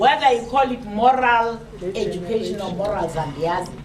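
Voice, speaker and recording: A woman with a South African accent speaks at a moderate pace with lively intonation, amid audible room echo and noticeable background noise. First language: Xhosa. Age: 60s. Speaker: panel speaker. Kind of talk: public talk. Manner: halting.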